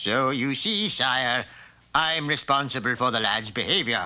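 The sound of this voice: A man performs a cartoonish character voice at medium pitch and a moderate pace, with ordinary pitch variation and very even loudness.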